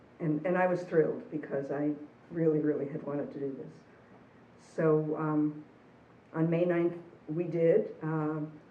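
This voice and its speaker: A woman speaks in a very deep, low voice with fairly even intonation, and audible echo fills the room. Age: 60s. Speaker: interviewee sharing personal story. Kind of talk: personal testimony.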